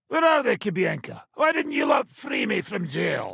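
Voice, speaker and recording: A man speaks at a moderate pace in a put-on character voice that is gruff and extremely high-pitched. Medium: video game. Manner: profane, gruff, laughing.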